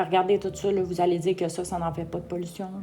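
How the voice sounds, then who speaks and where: In a Quebec accent, a woman speaks at a medium pitch. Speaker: vlogger. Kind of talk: casual opinion vlog. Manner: hesitant, frequent fillers; tremulous voice.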